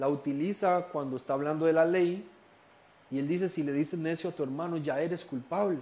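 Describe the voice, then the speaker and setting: A man's fairly high voice moves at a moderate pace, its intonation fairly even. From Costa Rica. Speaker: Bible study teacher. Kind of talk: lecture.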